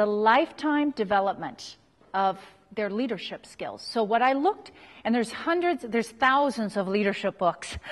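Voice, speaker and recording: A woman's fairly high voice with an American accent, lively intonation and a moderate pace. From US, Utah. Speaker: leadership researcher and lecturer. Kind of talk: workshop talk. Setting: live audience.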